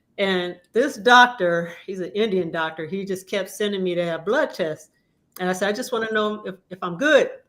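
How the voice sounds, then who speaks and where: A woman with an unremarkable speaking voice talks at a moderate pace, medium in pitch and with ordinary pitch variation. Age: 60s. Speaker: panelist. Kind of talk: personal story.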